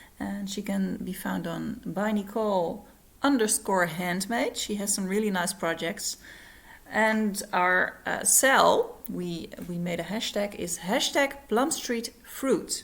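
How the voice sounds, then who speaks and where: A woman speaks with a non-native accent. She talks very slowly with ordinary pitch variation. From Netherlands. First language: Dutch. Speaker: cross-stitch vlogger. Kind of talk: casual vlog. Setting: at home, living room. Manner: halting, many fillers. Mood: friendly, cheerful. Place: home room. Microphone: phone near.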